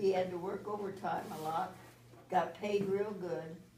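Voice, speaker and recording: Over noticeable background noise and audible room echo, a woman with an American accent speaks at a fairly slow pace, at a medium pitch with ordinary variation. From US Midwest, South Bend, Indiana. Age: 90s. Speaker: grandmother speaking to a school class. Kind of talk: storytelling to schoolchildren. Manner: halting, with many fillers.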